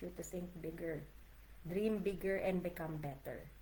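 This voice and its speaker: A woman speaks in a Filipino accent with vocal fry. Her pitch is medium and moves in an ordinary way. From Philippines. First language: Tagalog. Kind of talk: casual livestream talk to camera. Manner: warm, encouraging.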